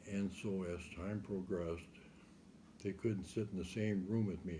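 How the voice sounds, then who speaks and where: With an American accent, a man talks at a moderate pace in a very deep, low voice that is dark, mellow and somewhat breathy, his intonation fairly even and audible room echo around him. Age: 70s. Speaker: interviewee recounting life story. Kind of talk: oral history interview.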